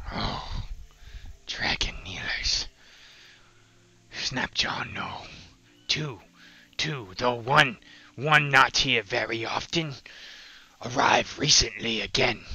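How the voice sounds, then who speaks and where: A man's raspy, put-on character voice at a medium pitch, very slow in pace with long, frequent pauses, and hissing. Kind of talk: comic game master creature voice. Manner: broken grammar, eager, hissing repetitions.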